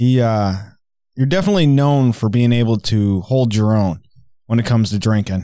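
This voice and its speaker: The man's dark, mellow tone moves at a moderate pace with ordinary pitch variation, recorded very cleanly over a silent background. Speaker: podcast host. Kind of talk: casual chat.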